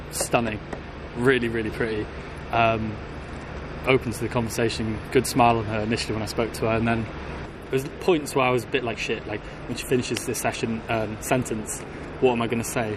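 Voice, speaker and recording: In a southern English accent, a man talks at a fairly quick pace with a relaxed tone, medium pitch and flat, monotone intonation, with audible room echo and noticeable background noise. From Wales. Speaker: subscriber on a social skills challenge. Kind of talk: casual chat.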